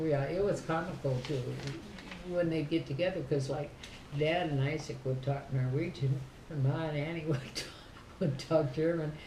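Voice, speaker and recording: A woman with an Upper Midwest accent speaks at a moderate pace in a very deep, low voice, with fairly even intonation. She leaves long, frequent pauses, and the room echo is audible. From southern Minnesota. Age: 80s+. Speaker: family elder. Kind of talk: casual chat.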